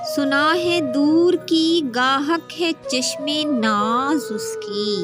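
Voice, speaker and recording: With music playing in the background, a woman's high voice moves with ordinary pitch variation. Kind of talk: poetry reading.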